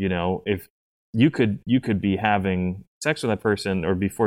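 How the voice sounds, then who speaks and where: Talking at a moderate pace with a fairly low pitch, this man has an unremarkable speaking voice. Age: 30s. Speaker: BDSM coach. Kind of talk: podcast interview.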